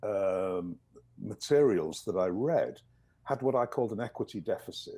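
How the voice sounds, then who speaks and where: A man speaks with a slight English accent. His pace is moderate. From northern England, East Yorkshire. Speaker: professor. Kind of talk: video interview. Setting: video call.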